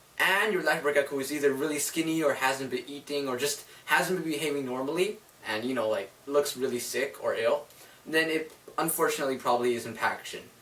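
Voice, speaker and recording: Against noticeable background noise, a man with a fairly high pitch and ordinary pitch variation speaks at a fairly quick pace. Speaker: reptile keeper sharing care tips. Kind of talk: casual tutorial. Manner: hesitant, stumbling over words; casual, filler-heavy.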